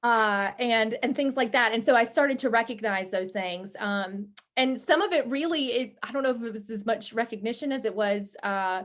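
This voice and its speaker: Against a quiet background, a woman talks at a moderate pace. Her pitch shifts in an ordinary way. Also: fairly high pitch for a woman, hardly any pauses. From eastern North Carolina (Williamston, near the coast). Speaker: news anchor and journalist. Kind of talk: casual interview. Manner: relaxed, informal.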